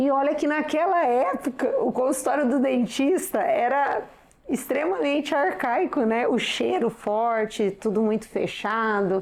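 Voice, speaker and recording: With a rural São Paulo accent, the speaker talks at a fairly slow pace with lively intonation and very even loudness over noticeable background noise. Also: woman, high pitch for a woman. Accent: São Paulo countryside (caipira). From interior of São Paulo state, Brazil. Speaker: dentist. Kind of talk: interview.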